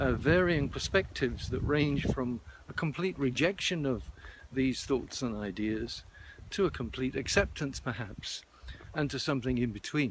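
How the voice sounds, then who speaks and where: Vocal fry runs through a man's medium-pitched voice as he speaks at a moderate pace with lively intonation. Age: 70s. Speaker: vlogger. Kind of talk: personal video monologue. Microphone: wind distortion at times.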